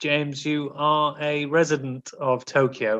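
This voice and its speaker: Against a quiet background, a man with an unremarkable speaking voice talks at a fairly slow pace and a fairly high pitch. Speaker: podcast host. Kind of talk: casual banter, comedy film game. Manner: joking, playful.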